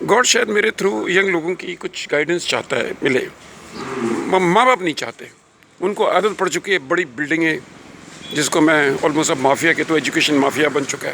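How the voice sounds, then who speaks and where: High-pitched male speech, lively in intonation, with noticeable background noise. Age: 70s. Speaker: retired academic vlogger. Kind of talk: casual monologue vlog. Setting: outdoors.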